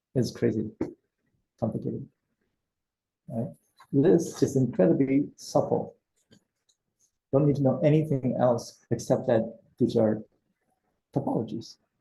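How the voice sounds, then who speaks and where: At a fairly slow pace with long, frequent pauses, a man speaks in a somewhat breathy, dark, mellow tone at a medium pitch with ordinary pitch variation. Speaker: seminar instructor. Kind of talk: lecture.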